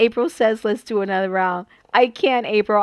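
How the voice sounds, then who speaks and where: An animated woman's fairly high voice at a moderate pace, dry and close with no echo. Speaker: papercraft livestream host. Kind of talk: live stream chat.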